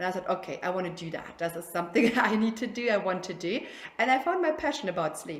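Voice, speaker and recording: This is a woman talking. She has a German accent. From Germany. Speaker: sleep consultant. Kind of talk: casual interview. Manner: halting.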